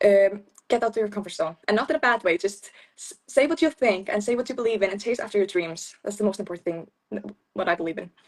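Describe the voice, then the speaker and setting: A woman's medium-pitched voice in an Icelandic accent, very fast, with ordinary pitch variation. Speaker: beauty pageant winner. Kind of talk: interview.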